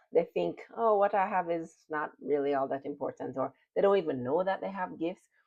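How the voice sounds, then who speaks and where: A woman with a slight Jamaican accent speaks fairly quickly in a fairly low pitch, her intonation lively. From Jamaica, Kingston. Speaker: personal development and spirituality channel host. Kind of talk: motivational talk to camera.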